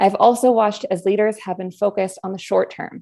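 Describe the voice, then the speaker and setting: Speaking with a Canadian accent at a fairly quick pace, a woman keeps her intonation fairly even against a quiet background. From Canada (Newmarket, Ontario), born abroad. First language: Spanish. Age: 20s. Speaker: political candidate, university student. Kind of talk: candidates' forum remarks. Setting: video call. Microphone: earbuds.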